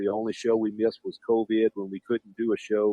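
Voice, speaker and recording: This man speaks fairly quickly with a South Louisiana accent. His tone is dark and mellow, and the sound is dry and close with no echo. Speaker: professional wrestler. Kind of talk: casual podcast phone interview. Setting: phone line.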